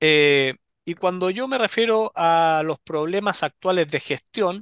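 A man at a high pitch with lively intonation and a fairly slow pace, dry with no echo over a quiet background. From Chile, Valparaíso region. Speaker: political candidate; candidate. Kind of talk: interview. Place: office. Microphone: headset.

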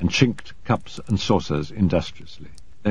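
The intonation is lively as someone is reading aloud in a natural voice.

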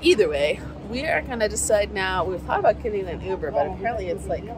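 Crowd noise fills the background as a woman talks at a fairly quick pace, her voice dry with no echo. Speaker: travel vlogger. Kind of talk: casual vlog chat. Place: waterside. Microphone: phone near.

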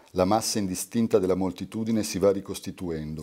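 Against a quiet background, a man talks at a fairly quick pace. His pitch is very deep and low. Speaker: poet reading his work. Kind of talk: poetry reading aloud. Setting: live reading at a university. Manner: meditative, lyrical cadence. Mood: calm, measured, contemplative. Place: home room. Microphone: studio mic.

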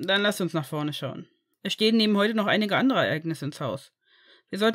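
Quiet background behind an unforced reading voice

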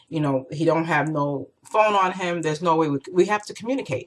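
At a moderate pace, a woman with a fairly low voice swings her pitch very widely. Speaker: vlogger. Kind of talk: casual vlog chat. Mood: emotional, storytelling with laughs. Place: home room. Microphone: webcam.

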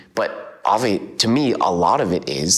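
With very wide pitch swings, a man speaks at a moderate pace. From central Alberta, Canada. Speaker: calligrapher; interviewee. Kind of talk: interview; interview answer. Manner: casual, with fillers. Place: home room. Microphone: lapel.

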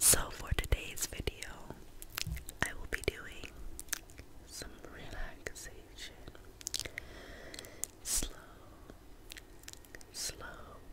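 Whispering very slowly, a woman leaves long, frequent pauses. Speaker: ASMR content creator. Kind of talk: ASMR relaxation video. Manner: soft, whispered, slow. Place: home room. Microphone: studio mic.

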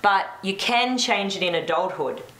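A woman speaks with ordinary pitch variation, and audible room echo fills the recording. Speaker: talk show host. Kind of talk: panel discussion. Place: studio.

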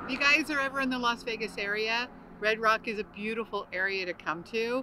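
A woman with ordinary pitch variation, in a dry sound with no echo, over noticeable background noise. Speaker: vlogger. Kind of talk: casual vlog chat. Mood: cheerful, laughing. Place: open country.

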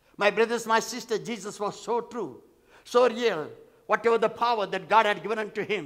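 Against a quiet background, a man talks at a fairly quick pace in a high voice. His tone is animated. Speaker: pastor. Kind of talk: sermon. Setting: church. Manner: animated, repetitive, call-and-response preaching; emphatic, repeating phrases for effect. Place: church. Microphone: headset.

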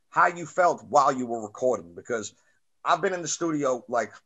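Against a quiet background, a man with a New York accent talks at a fairly quick pace with lively intonation. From Staten Island, New York. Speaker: podcast host and rapper; podcast host. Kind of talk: casual interview. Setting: video call. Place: home room. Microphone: webcam.

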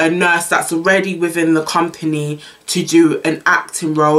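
Her pitch low and her tone fairly bright, a woman talks at a moderate pace with little pitch movement.

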